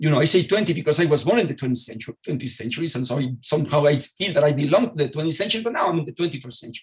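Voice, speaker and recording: Speaking with a Spanish accent, a man uses a fairly high voice that swings very widely in pitch. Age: 60s. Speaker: physicist. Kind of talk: lecture. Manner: halting.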